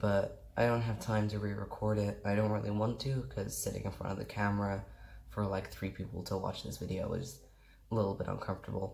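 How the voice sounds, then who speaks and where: A man's mumbling, somewhat breathy voice at a fairly low pitch, fairly quick in pace, with ordinary pitch variation and audible room echo. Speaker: YouTuber explaining mental health topic. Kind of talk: casual explainer to camera. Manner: quiet.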